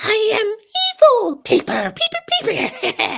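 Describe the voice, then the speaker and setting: This put-on character voice is squeaky and extremely high. It moves at a fairly slow pace. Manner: sinister, evil.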